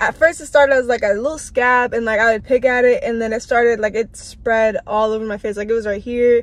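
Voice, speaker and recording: With an American accent, a woman talks at a fairly quick pace and with ordinary pitch variation. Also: dry sound with no echo. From Washington DC metro area. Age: young. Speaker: college student. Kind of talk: casual vlog talk to camera. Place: car.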